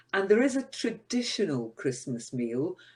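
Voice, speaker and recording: A woman speaks at a fairly slow pace with a Scottish accent, her pitch swinging very widely. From Scotland. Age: 60s. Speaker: podcast co-host. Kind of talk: casual chat. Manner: halting.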